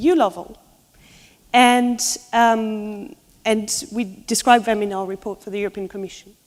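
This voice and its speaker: A woman with a French accent, fairly high in pitch, at a moderate pace. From France. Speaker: law researcher. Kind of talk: conference presentation.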